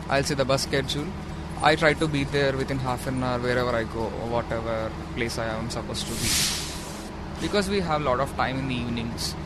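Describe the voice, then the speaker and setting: There is audible room echo and noticeable background noise as a man speaks. His pitch is medium and his pace fairly quick. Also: ordinary pitch variation. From India, Hyderabad. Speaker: international student. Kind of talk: interview. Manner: halting.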